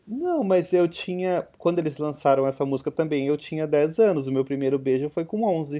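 A man with a fairly high pitch, ordinary pitch variation and a dark, mellow tone speaks with hardly any pauses. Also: moderate pace. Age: 30s. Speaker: podcast host. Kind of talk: casual chat.

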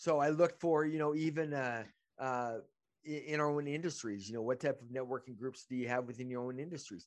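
Speaking with a normal speaking voice, a man talks at medium pitch and a fairly quick pace with ordinary pitch variation. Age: 50s. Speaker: podcast host and business networking group organizer. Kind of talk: casual chat. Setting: video call.

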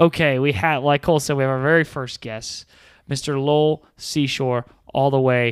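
A man talks at a moderate pace in a plain, everyday voice of medium pitch, with fairly even intonation, in a very clean recording with a silent background. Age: 30s. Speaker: podcast host and youth ministry staff. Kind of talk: casual chat.

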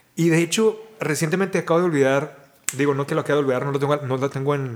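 In an ordinary speaking voice, a man talks fairly high in pitch, varying it in an ordinary way. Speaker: podcast host. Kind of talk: casual conversation. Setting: outdoors in a park.

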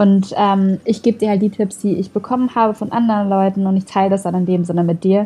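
A woman of medium pitch talks at a very fast pace in a somewhat breathy, dark, mellow tone with monotone, flat intonation. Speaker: social media influencer and voice actress. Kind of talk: casual interview.

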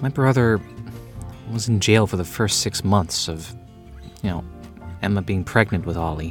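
Doing a put-on character voice, a man sounds whiny, with a whiny tone and fairly low pitch. He speaks at a moderate pace with long, frequent pauses over clear music in the background. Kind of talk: rom-com audio drama. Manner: whiny, petulant, self-pitying.

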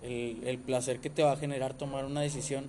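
This man has a Mexican accent and fairly even intonation. His pace is moderate. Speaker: podcast host. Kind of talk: casual chat. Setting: podcast recording app.

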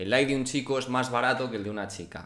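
Room echo is audible in this recording of a man. His pitch variation is ordinary. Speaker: podcast host. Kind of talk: casual chat.

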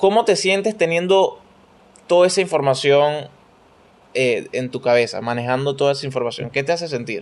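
Lively in intonation, a man talks at a moderate pace and a fairly high pitch. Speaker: podcast host. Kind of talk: casual chat.

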